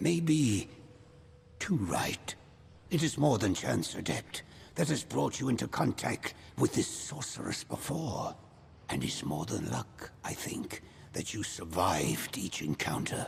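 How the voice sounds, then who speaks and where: A man puts on a character voice at a fairly low pitch, moving at a fairly slow pace with long, frequent pauses and very wide pitch swings over clear background noise. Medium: video game. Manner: grave, measured.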